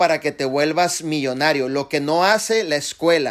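The delivery has an animated tone, a moderate pace and ordinary pitch variation. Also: man. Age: 40s. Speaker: network marketing leader. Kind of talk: motivational talk.

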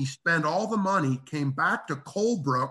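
A man's bright, sharp, fairly high-pitched voice with lively intonation at a fairly slow pace. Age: old. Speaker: local historian. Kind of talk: storytelling interview.

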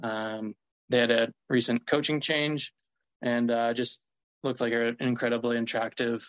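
A man with an American accent speaks at a fairly slow pace and medium pitch. The intonation is fairly even, and the sound is dry and close with no echo. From US South, Mississippi. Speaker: professional baseball pitcher. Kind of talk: casual interview.

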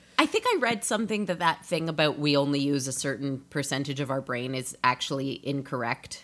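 A woman with a very deep, low pitch and ordinary pitch variation speaks with hardly any pauses over noticeable background noise. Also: fairly quick pace. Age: 30s. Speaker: audio drama creator and composer. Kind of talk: casual interview chat.

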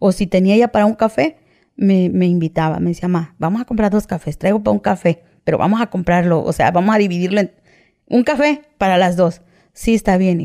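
A woman's dark, mellow, medium-pitched voice at a fairly quick pace, with ordinary pitch variation and a dry, close sound with no echo. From Mexico, Veracruz (Coatzacoalcos). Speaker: former prisoner telling her story. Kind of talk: testimony. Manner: halting.

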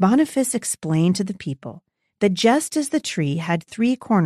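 The background is quiet. Over it comes a natural reading voice.

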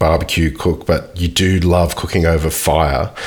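Noticeable background noise sits under speech that moves at a fairly slow pace. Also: man. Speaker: podcast host. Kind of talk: casual interview.

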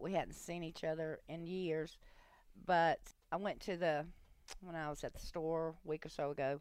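A woman speaks at a moderate pace with fairly low pitch and fairly even intonation, in a plain, everyday voice. The recording is very clean, with a silent background. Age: 60s. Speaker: host's mother. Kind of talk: casual chat. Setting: studio.

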